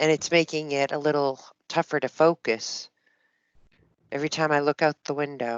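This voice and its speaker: Against a quiet background, the speaker talks at a moderate pace with a slight East Coast accent. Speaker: software sales demonstrator. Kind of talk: business video call.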